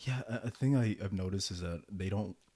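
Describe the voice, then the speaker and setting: A man's normal speaking voice, fairly low in pitch, at a fairly quick pace. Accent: American. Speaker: podcast host. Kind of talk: casual chat.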